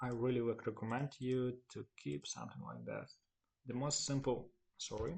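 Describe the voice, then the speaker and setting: This man has a Ukrainian accent. He talks at a fairly slow pace. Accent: Ukrainian accent, non-native English. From Ukraine. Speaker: web developer, tutorial maker. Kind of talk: screen-recorded tutorial. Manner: halting, with fillers.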